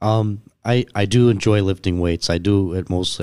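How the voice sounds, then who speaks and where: This is a man with a Western New York accent. His pitch varies in an ordinary way. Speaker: entrepreneur. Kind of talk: casual chat. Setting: studio.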